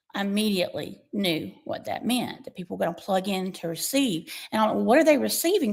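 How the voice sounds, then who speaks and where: Marked by vocal fry, a woman with a medium pitch speaks using lively intonation. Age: 60s. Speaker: skincare product formulator and business owner. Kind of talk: testimony.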